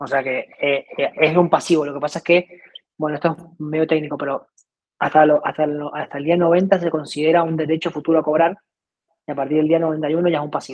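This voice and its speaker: A man talks at a fairly quick pace in a flat monotone, his pitch fairly high. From Argentina. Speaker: startup CEO. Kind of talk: interview. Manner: halting, many repetitions.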